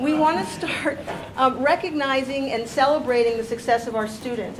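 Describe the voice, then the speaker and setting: A woman speaks loudly and fairly quickly in a high voice with ordinary pitch variation. Noticeable background noise and audible room echo come through. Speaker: staff member at a teacher training meeting. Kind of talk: announcements at a meeting.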